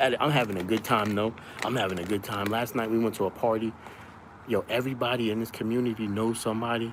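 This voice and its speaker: His intonation stays flat and monotone at a medium pitch. The man talks very fast. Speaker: live streamer. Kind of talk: casual livestream chat. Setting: down the shore on vacation. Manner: loud.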